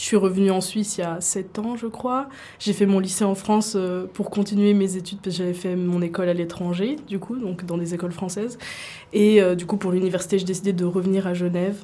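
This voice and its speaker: An unremarkable speaking voice from a woman, medium in pitch, with fairly even intonation and a fairly quick pace. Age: 20s. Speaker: university student and K-pop dancer. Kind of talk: radio interview.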